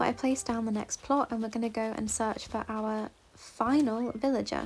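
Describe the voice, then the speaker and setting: A woman speaks with an English accent at a fairly high pitch. Her intonation stays monotone and flat. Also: moderate pace. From England. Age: 20s. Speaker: gaming YouTuber. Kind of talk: casual gameplay commentary. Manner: casual, chatty.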